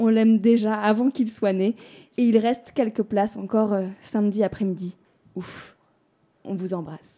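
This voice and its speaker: A woman's fairly high voice with a dark, mellow tone and fairly even intonation at a fairly slow pace, on a very clean recording with a silent background. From Perche region, France (Soudé). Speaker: community radio host. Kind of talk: scripted presentation.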